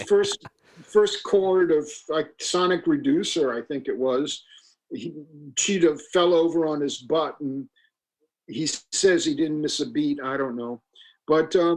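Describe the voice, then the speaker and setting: Speaking with an American accent, a man with a fairly high pitch talks at a fairly slow pace with ordinary pitch variation and long, frequent pauses. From United States. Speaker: singer. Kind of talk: interview answer.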